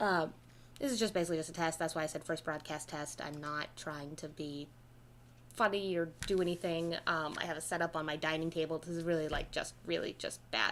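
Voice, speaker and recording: Fairly quick pace and fairly even intonation. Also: woman, fairly low pitch for a woman. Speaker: game streamer. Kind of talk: live game streaming. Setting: home setup on dining table. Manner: loud; halting.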